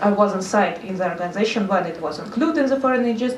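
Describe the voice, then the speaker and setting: With noticeable background noise and audible room echo, the voice shows ordinary pitch variation. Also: woman. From Russia, Saint Petersburg. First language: Russian. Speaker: NGO consultant. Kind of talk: seminar talk. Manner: halting.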